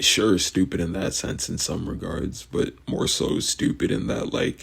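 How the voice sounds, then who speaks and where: A man with a very deep, low pitch and vocal fry speaks at a fairly slow pace with very wide pitch swings. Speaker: vlogger. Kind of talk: casual monologue. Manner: rambling, halting with fillers.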